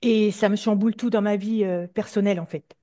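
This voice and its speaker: A woman's fairly high voice, dark and mellow in tone, at a moderate pace. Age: 60s. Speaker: hypnosis session client. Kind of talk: personal testimony in interview. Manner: halting, many hesitations.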